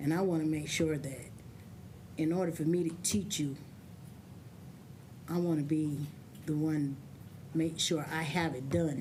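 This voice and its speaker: A woman's very deep, low, somewhat breathy voice, dark and mellow, monotone and flat, fairly slow pace with long, frequent pauses and audible room echo. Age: 60s. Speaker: adult learner giving testimony. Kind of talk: testimony.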